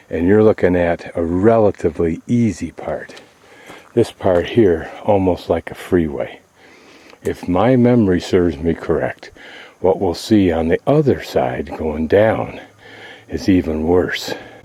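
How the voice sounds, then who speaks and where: A man speaks in a very deep, low pitch with a dark, mellow tone. He goes at a fairly slow pace with ordinary pitch variation. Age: 60s. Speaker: travel vlogger. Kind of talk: video narration. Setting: outdoors. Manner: casual.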